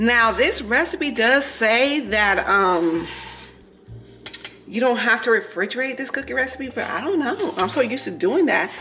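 Music sounds in the background as a woman talks. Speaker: home cook vlogger. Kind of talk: casual vlog chat. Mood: relaxed, chatty. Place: kitchen. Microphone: camera far.

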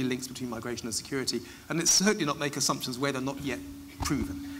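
A man's fairly high voice over light background noise. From United Kingdom. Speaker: migration policy expert; expert guest at a public lecture. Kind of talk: public Q&A. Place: stage.

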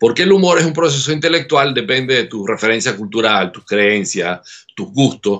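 A man at a moderate pace, hardly any pauses, very wide pitch swings and big swings in loudness. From Venezuela. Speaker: laughter therapist; guest. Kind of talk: interview. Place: home room. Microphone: webcam.

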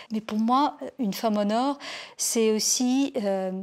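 Against a quiet background, a woman speaks at a moderate pace and a fairly high pitch. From Lebanon. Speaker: journalist, war reporter. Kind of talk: interview testimony. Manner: hesitant, many fillers. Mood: calm, reflective. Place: home room. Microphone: lapel.

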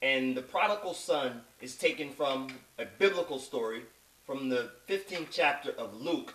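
In a room with audible echo, a man talks fairly slowly in a fairly high voice with lively intonation. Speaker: spoken word poet. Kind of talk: spoken introduction explaining the poem. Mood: earnest, moral message. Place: home room. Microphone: webcam.

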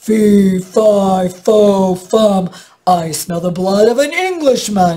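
A put-on character voice at middle pitch, very slow in pace. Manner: menacing.

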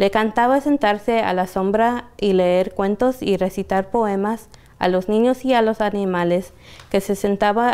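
At a fairly slow pace, a woman speaks in a dark, mellow tone with fairly even intonation and very even loudness. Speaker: library storyteller. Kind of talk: bedtime story reading aloud to children. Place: shop.

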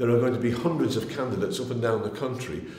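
Speaking at a fairly quick pace is a man. Audible room echo hangs around his voice. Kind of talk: political appeal to camera. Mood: earnest, persuasive. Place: home room.

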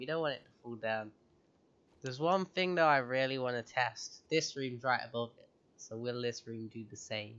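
A man with a British accent speaks at a moderate pace and medium pitch, his pitch varying in an ordinary way while his loudness swings widely. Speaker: gaming youtuber. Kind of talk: let's play commentary. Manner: casual, frequent laughter.

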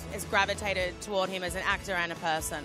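Clear music plays behind a woman who talks at a fairly quick pace in a dry sound with no echo. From Australia. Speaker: broadcast journalist. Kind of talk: TV entertainment report to camera. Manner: upbeat.

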